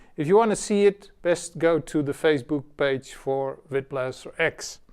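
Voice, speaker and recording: At a moderate pace, a man with a fairly high pitch speaks with ordinary pitch variation. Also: very clean recording, silent background. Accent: non-native. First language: not English. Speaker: software developer. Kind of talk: casual tutorial. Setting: home studio with cameras. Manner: hesitant, many fillers.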